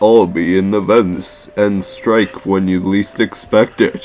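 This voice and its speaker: In a put-on character voice, a man speaks at a fairly low pitch and fairly slow pace. His intonation is flat and monotone, with clear music in the background. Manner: menacing.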